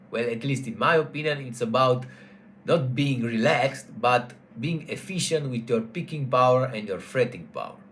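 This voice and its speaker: This man speaks with a non-native accent at a moderate pace. His pitch sits in the medium range. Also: ordinary pitch variation. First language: not English. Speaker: guitar teacher. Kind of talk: tutorial. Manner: halting, with self-corrections.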